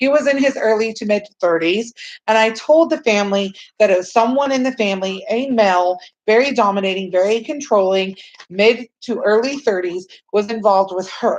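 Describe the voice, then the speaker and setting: A woman with a Texan accent speaks at a fairly quick pace. Her pitch is fairly high, with ordinary variation. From Texas. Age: 30s. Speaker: psychic reader. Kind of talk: live stream chat with viewers. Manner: fast.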